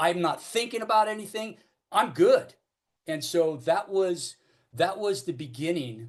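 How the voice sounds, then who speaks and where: Lively intonation at a fairly slow pace, with an American accent. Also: man, high pitch for a man. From Northern California (Oakland). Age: 60s. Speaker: recovering alcoholic speaker. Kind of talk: AA recovery talk / testimony. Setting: AA meeting. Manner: halting, many fillers and repetitions.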